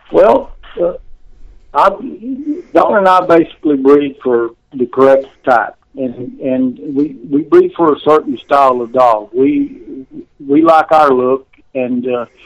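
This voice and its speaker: A man talks with a Texan accent at a fairly slow pace. His pitch is fairly high and his intonation fairly even. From central Texas. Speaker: bulldog breeder. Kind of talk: interview. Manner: halting.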